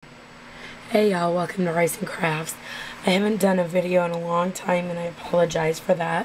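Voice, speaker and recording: Against noticeable background noise, a woman speaks at a moderate pace in a fairly low, monotone voice with flat intonation. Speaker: craft video maker. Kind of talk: tutorial. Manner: casual, chatty.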